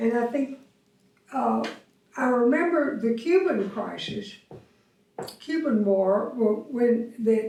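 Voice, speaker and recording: Speaking at a very slow pace, a woman with a Texan accent uses a fairly high pitch. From Austin, Texas. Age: old. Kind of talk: interview answer. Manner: hesitant, reminiscing.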